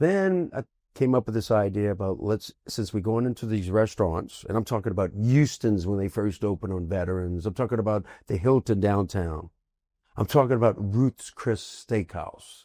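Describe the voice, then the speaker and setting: In a very clean recording with a silent background and a dry, close sound free of echo, a man speaks at a moderate pace in a dark, mellow, fairly low voice with ordinary pitch variation. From New Orleans, Louisiana. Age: 60s. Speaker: restaurant and food business entrepreneur. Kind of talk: casual interview chat.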